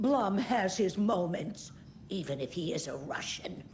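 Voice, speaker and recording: A woman's raspy, put-on character voice at medium pitch, with lively intonation, a moderate pace and clear background noise. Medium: video game.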